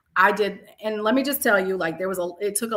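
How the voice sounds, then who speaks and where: A woman talking very fast at medium pitch with ordinary pitch variation, over noticeable background noise. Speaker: math educator and leader. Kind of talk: casual interview conversation. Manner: loud; animated.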